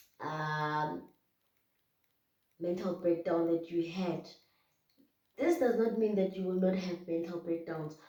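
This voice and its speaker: A woman speaks at a fairly slow pace in a fairly low pitch. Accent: South African. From South Africa. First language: Zulu. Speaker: YouTuber. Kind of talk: casual talk-to-camera advice vlog. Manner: hesitant, many fillers.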